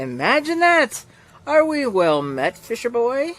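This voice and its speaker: In a put-on character voice, the speaker uses a fairly high pitch with very wide pitch swings at a fairly slow pace. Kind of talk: radio announcer voice. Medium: read story. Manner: smooth, genial and mocking.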